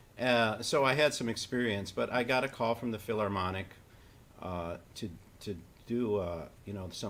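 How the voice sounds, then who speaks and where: Fairly quick delivery from a man, a normal speaking voice, with ordinary pitch variation. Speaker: saxophonist and educator. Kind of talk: interview conversation. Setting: online live stream.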